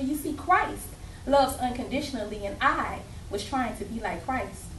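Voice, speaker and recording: A woman speaks in a high pitch with lively intonation, accompanied by audible room echo and noticeable background noise. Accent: Southern US. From Alabama. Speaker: spoken word poet. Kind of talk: poetry performance. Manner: loud.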